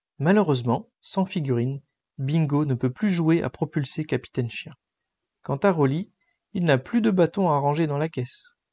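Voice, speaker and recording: The voice has a gentle, soothing tone with long, frequent pauses against a quiet background. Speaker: bedtime story narrator. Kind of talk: bedtime story reading aloud, children's story. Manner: gentle, soothing, slow storytelling pace.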